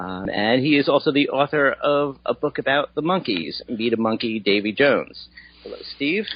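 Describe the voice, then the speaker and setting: Using lively intonation and some vocal fry, a man speaks at a moderate pace with a fairly high pitch. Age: old. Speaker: podcast host and music journalist. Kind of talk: casual chat.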